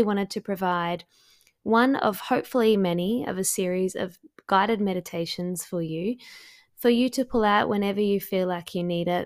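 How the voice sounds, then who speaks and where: A woman with a normal speaking voice talks at a fairly quick pace and a medium pitch with ordinary pitch variation, in a very clean recording with a silent background. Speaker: podcast host and astrologer. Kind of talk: guided meditation.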